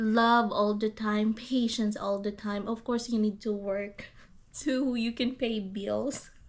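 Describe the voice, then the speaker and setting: A woman's fairly high voice in a Visayan accent, at a very slow pace with monotone, flat intonation. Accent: Filipino (Visayan) accented English. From Philippines, Iloilo. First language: Hiligaynon. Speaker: YouTuber. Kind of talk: casual chat. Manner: halting.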